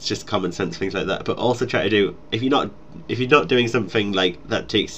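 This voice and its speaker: Very fast speech comes from a man with a Geordie accent. His pitch varies in an ordinary way. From northeast England, Newcastle. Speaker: gaming YouTuber. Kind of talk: casual Q&A chat.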